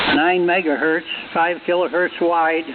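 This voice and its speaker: With noticeable background noise behind him, a man speaks at a high pitch. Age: 80s+. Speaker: ham radio operator. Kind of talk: radio net check-in. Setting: amateur radio transmission.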